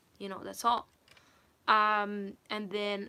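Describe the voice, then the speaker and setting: A woman's fairly high voice with a bright, sharp tone. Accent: non-native. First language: not English. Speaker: singer and vocal coach. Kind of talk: livestream chat.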